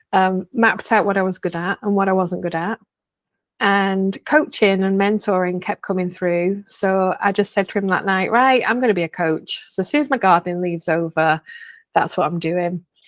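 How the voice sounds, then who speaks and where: With a Lancashire accent, a woman of medium pitch talks at a moderate pace, recorded with a dry, close sound with no echo against a quiet background. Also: ordinary pitch variation. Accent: Bolton. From northern England, Bolton. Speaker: coach. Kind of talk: interview conversation. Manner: hesitant fillers, conversational.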